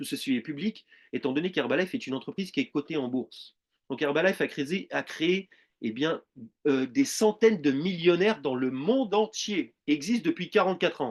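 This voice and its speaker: A man at a fairly quick pace, high in pitch, with very wide pitch swings. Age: 40s. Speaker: network marketing presenter. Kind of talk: sales pitch.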